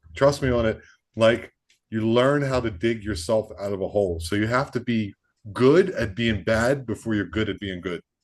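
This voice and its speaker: A man with an American accent has a plain, everyday voice, medium in pitch with ordinary pitch variation, talking at a moderate pace against a quiet background. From US, Baltimore. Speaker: podcast host and stand-up comedian. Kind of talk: casual interview chat.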